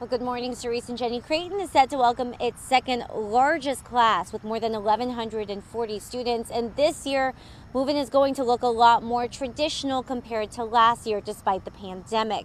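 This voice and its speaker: A woman with a high pitch talks at a moderate pace with hardly any pauses and ordinary pitch variation. Light background noise sits under a dry sound with no echo. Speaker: TV news reporter. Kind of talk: live news report. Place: street. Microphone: handheld.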